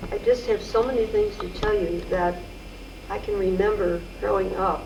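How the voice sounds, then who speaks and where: In an echoing room with noticeable background noise, a woman with a US Midwestern accent speaks at a moderate pace. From Missouri, St. Louis. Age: 70s. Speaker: oral history interviewee. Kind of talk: oral history interview.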